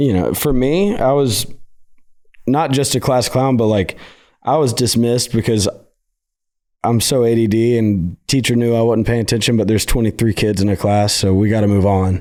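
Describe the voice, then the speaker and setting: This man's voice is medium in pitch, with a dark, mellow tone and ordinary pitch variation at a moderate pace. Loudness stays very even on a very clean recording with a silent background. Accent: Southern US. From Nashville, Tennessee. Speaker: country singer-songwriter. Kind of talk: casual chat.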